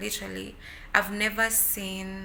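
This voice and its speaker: A woman talking at a fairly slow pace, amid noticeable background noise and audible room echo. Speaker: vlogger. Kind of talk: casual chat. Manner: loud.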